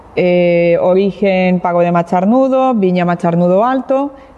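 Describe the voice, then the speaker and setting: Over noticeable background noise, a woman at a medium pitch talks at a very slow pace with ordinary pitch variation. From Catalonia, Spain (Barcelona). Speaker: winemaker. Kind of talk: wine tasting presentation. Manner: halting, frequent fillers and repetitions.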